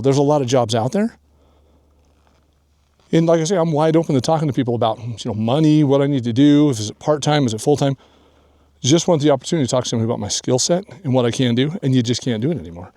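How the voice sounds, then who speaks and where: Over a very clean recording with a silent background, a man talks at a very fast pace in a fairly high pitch, his tone dark and mellow, with ordinary pitch variation. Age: 60s. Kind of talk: casual talk to camera. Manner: hesitant, conversational.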